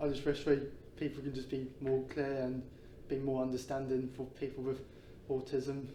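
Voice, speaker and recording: In a room with audible echo, a man speaks with monotone, flat intonation. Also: medium pitch for a man, moderate pace. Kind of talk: interview. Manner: stutters at times.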